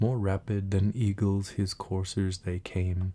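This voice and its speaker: A soft-spoken man's very deep, dark and mellow voice, somewhat breathy, monotone and flat, at a very slow pace. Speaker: ASMR creator. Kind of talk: poetry reading.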